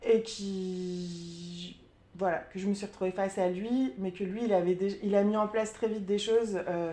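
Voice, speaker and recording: A woman's dark, mellow voice at medium pitch, with fairly even intonation and a fairly slow pace. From Burgundy, France. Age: 30s. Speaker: sophrologist sharing testimony. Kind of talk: testimony interview. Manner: hesitant, many fillers.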